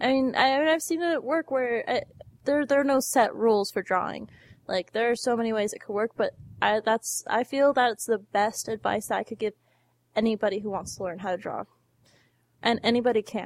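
A woman talks at a moderate pace with fairly high pitch, ordinary pitch variation, and a plain, everyday voice. The recording is very clean with a silent background. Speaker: podcast host. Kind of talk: casual chat. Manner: joking, cheerful.

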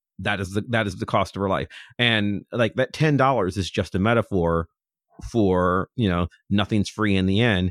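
A man with an American accent uses a normal speaking voice, fairly low in pitch, with ordinary pitch variation at a moderate pace. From US Midwest, near Cleveland, Ohio. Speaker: podcaster and comic fan. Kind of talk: casual chat.

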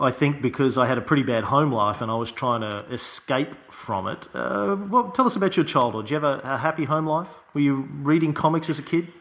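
Over noticeable background noise, a man with an Australian accent and fairly high pitch speaks at a fairly quick pace with lively intonation and hardly any pauses. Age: 30s. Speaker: podcast host. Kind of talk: interview conversation.

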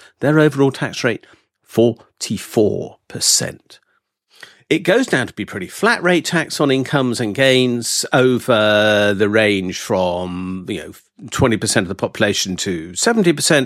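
With an English accent, a man speaks at a fairly slow pace, his medium pitch carrying lively intonation. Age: 60s. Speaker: professor and economist. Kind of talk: casual interview chat.

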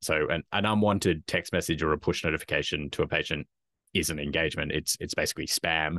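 At a very fast pace, a man with an Australian accent speaks in a very deep, low pitch with a bright, sharp tone and fairly even intonation, the sound dry and close with no echo against a quiet background. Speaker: health tech company founder and executive. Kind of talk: interview.

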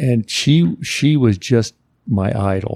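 With an American accent, a man talks in a dark, mellow tone, the sound dry and close with no echo. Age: 70s. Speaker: former professional basketball player and author. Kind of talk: casual interview chat. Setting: studio.

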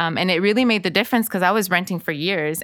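On a very clean recording with a silent background, a woman with a Spanish accent speaks in a fairly low pitch with a bright, sharp tone and ordinary pitch variation. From Los Angeles (Inglewood/Lennox), Salvadoran family. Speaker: author and financial literacy speaker. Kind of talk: casual interview.

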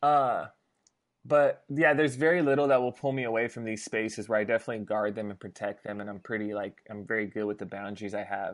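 Against a quiet background, a man with an American accent speaks at a very fast pace. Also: medium pitch for a man, ordinary pitch variation, big swings in loudness. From US West Coast, Los Angeles. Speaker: pastor. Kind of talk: casual interview conversation. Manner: casual, uses filler like and dude.

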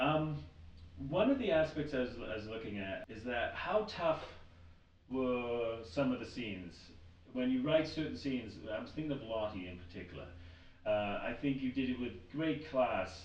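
A man with an American accent at medium pitch, lively intonation, moderate pace and long, frequent pauses, amid noticeable background noise and audible room echo. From US steel town. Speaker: podcast host. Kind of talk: interview.

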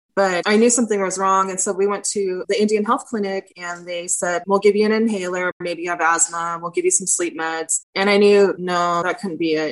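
A woman with a plain, everyday voice talks at a medium pitch and a fairly quick pace, with fairly even intonation and hardly any pauses. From Southern California, San Diego area. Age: 40s. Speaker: patient advocate. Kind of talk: testimony.

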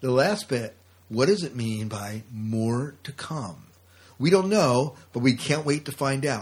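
Somewhat breathy and medium in pitch, a man speaks at a very slow pace with lively intonation. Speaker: podcast co-host. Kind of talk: casual chat.

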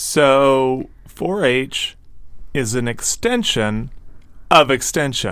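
A man talks at a very slow pace in a medium pitch. His pitch moves up and down in an ordinary way. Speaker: podcast co-host. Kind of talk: casual chat. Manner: announcer-like cadence in intros.

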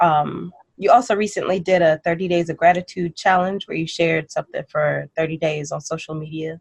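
This woman has an ordinary speaking voice with a fairly low pitch. She keeps a moderate pace with hardly any pauses and fairly even intonation. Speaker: podcast host. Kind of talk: interview. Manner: warm, playful, laughs often.

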